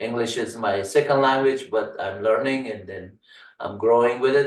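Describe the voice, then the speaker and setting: Heard with audible room echo, a man speaks in an Afghan accent at a moderate pace. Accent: Afghan Persian accent in English. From Afghanistan, Kabul. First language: Farsi. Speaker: tech instructor. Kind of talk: tutorial. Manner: halting, many fillers.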